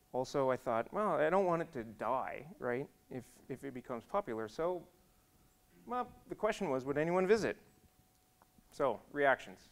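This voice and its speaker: A man with an American accent speaks at a fairly high pitch, his voice swinging very widely up and down, with long, frequent pauses. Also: moderate pace. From Iowa, US Midwest. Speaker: software engineer, conference speaker. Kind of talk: conference talk with slides. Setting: conference stage with audience. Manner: casual, humorous.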